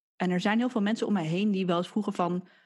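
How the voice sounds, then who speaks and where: Somewhat breathy and medium in pitch, a woman's voice comes through a very clean recording with a silent background. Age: 20s. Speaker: podcast co-host, physiotherapist recovering from burnout. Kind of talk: casual chat.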